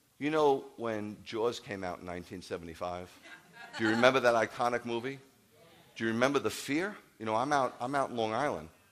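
A man talks in an animated tone at a moderate pace. His pitch varies in an ordinary way. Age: 50s. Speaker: rabbi. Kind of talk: sermon. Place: church. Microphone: headset.

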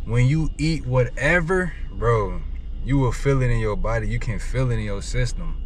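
Light background noise under a male voice, dry and free of echo. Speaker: truck driver vlogger. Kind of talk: casual vlog chat. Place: car.

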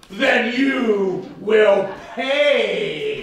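A put-on character voice comes through with a slight echo. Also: man, extremely high pitch for a man. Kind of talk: comic melodrama overacting. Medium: audio drama. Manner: theatrical overacting.

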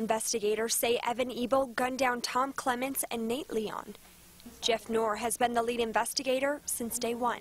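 Speaking at a moderate pace, a woman has a high pitch and monotone, flat intonation. The sound is dry with no echo, over light background noise. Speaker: TV news reporter. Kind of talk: formal TV news report, scripted field reporting. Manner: formal, polished, measured newsreader delivery.

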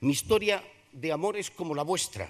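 A man talks at a fairly high pitch. The background is quiet. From Zamora, Spain; Spain. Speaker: Holy Week proclaimer and veteran radio broadcaster. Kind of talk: solemn poetic oration, Holy Week proclamation delivered to a packed theatre. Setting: theatre stage with audience. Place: hall. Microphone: podium.

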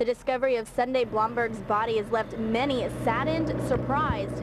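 The voice shows ordinary pitch variation and very even loudness. Noticeable background noise is present. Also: woman. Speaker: TV news reporter and fill-in anchor. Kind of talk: TV news reporter delivery.

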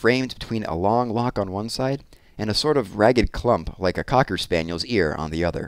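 With lively intonation, a speaker is reading aloud in a natural voice.

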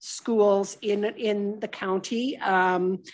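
The background stays quiet as a woman talks. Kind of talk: council meeting questions. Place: meeting room. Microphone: podium.

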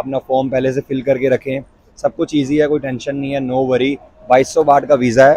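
The sound is dry, with no echo. A man talks with monotone, flat intonation. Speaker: travel vlogger. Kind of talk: casual vlog chat. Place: station. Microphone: lapel.

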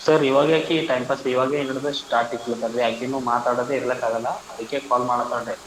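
Over noticeable background noise, a man of medium pitch talks with fairly even intonation. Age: 20s. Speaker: heartbroken young man seeking advice. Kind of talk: counselling conversation.

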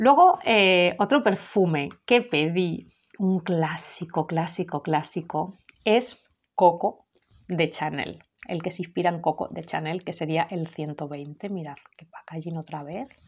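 A woman's fairly low voice at a very slow pace, with ordinary pitch variation. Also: big swings in loudness. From Spain. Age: 30s. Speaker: perfume youtuber. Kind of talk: product review. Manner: halting. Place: home room. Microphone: webcam.

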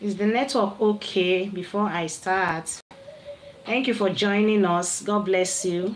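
Against light background noise, a woman speaks at a very slow pace. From Nigeria. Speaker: livestream vlogger; live stream host. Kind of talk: casual livestream chat; casual live stream chat. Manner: animated. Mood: animated, argumentative at times. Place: home room. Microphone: phone near.

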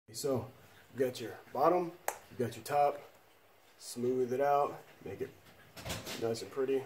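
A man at a fairly slow pace, medium pitch and ordinary pitch variation, slightly mellow in tone, with audible room echo

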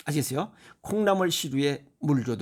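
Fairly high in pitch, a man speaks at a moderate pace with lively intonation and an animated tone. The recording is very clean, against a silent background. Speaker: health lecturer. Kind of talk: lecture.

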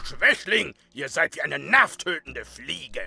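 A man speaks at a moderate pace in a dry, close sound with no echo. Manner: shouting, menacing.

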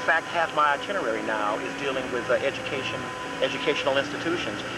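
Amid loud background noise, a man talks at a fairly quick pace in a dry sound with no echo. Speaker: educator. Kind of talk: interview answer. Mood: relaxed, friendly. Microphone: old recording.

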